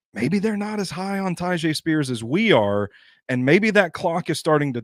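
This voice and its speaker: In a very clean recording with a silent background and a dry, close sound with no echo, a man speaks. His pace is moderate, and his pitch swings very widely. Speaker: sports podcast host. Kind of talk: casual sports discussion. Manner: hesitant, many fillers.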